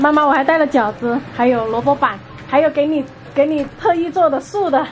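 Music plays in the background as a woman talks at a moderate pace. Her pitch is high, with ordinary variation. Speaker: vlogger filming family. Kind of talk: casual vlog chat. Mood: cheerful, laughing. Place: kitchen. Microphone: phone near.

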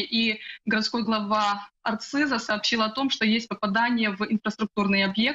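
Fairly high in pitch with fairly even intonation, a woman with an unremarkable speaking voice talks at a fairly slow pace. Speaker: news correspondent. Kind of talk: live news report.

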